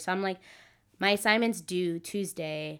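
Speaking at a moderate pace with an American accent, an ordinary speaking voice shows lively intonation in a very clean recording with a silent background. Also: woman. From US South. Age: 20s. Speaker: podcast guest. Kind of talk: casual chat.

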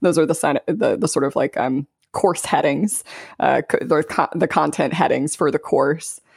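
Someone with an American accent speaks at a moderate pace on a very clean recording with a silent background. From US South, South Louisiana. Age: 30s. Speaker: life coach and business consultant. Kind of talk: casual interview chat.

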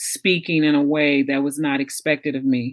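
This woman has a very deep, low pitch and an American accent. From Pomona, California. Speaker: podcast host, former teacher. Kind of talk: casual interview chat.

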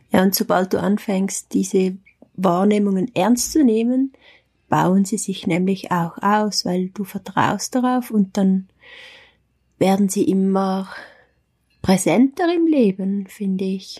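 At a very slow pace, a somewhat breathy woman of medium pitch speaks with ordinary pitch variation. Her speech has long, frequent pauses. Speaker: spiritual practitioner. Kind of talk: casual chat. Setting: holiday hut in the Alps.

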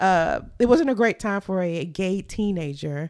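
On a very clean recording with a silent background, a woman with an ordinary speaking voice talks at medium pitch and a moderate pace, her intonation lively. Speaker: podcast co-host. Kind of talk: casual chat.

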